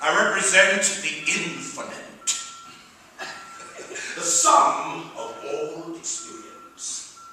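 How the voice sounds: Amid strong room echo, a man talks in a put-on character voice at a very slow pace, with long, frequent pauses, ordinary pitch variation and a bright, sharp tone. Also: fairly high pitch for a man.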